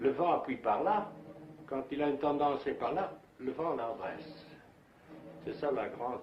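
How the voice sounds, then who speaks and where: A man with a fairly high pitch speaking at a fairly slow pace amid audible room echo. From Flanders, Belgium. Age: 70s. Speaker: kite maker and painter. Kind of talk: interview. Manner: halting.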